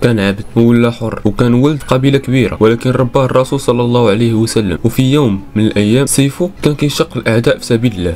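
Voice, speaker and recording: A man with a medium pitch speaks with hardly any pauses and ordinary pitch variation. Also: fairly quick pace. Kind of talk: storytelling narration of religious history.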